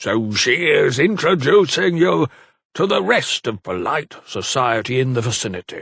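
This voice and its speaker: Put-on character voice from a man, medium in pitch, at a moderate pace with very wide pitch swings. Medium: read story.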